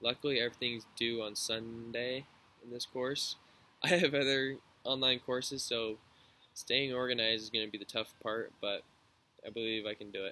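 A man with an American accent speaks at a moderate pace with fairly even intonation. His tone is bright and sharp, and the sound is dry with no echo. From Washington state, near Tacoma; Washington state. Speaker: university student. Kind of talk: class introduction video. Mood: relaxed, friendly. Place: garden. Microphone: webcam.

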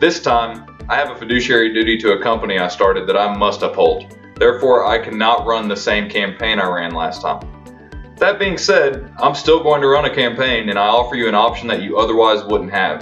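A man talks at a fairly quick pace while faint music sits in the background. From Memphis, Tennessee. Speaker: attorney and political candidate. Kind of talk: political campaign announcement. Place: home room. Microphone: camera far.

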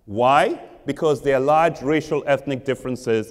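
A man's speech moves at a moderate pace, with the background kept quiet. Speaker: professor giving public lecture. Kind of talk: lecture. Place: church.

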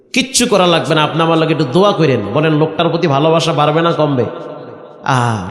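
Noticeable background noise and audible room echo accompany speech delivered with lively intonation. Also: man. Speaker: Islamic preacher. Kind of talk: sermon. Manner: animated.

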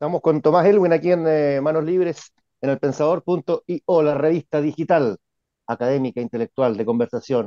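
Speaking at a moderate pace, a man uses a fairly high pitch with ordinary pitch variation. The background is quiet. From Chile. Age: 50s. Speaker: journalist and show host; journalist, show host. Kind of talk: political interview. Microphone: earbuds.

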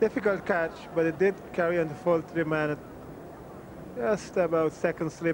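A man speaks at a moderate pace in a high voice with ordinary pitch variation, leaving long, frequent pauses, over noticeable background noise in a dry recording with no echo. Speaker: cricket commentator. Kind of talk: live cricket commentary.

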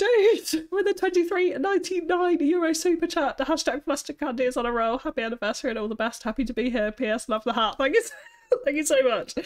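This woman talks at a fast pace with few pauses. Her voice sits high in pitch. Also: ordinary pitch variation.

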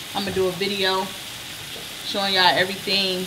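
A woman speaks over noticeable background noise. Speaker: home cook vlogger. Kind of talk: casual vlog chat. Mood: relaxed, upbeat. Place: kitchen. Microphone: camera far.

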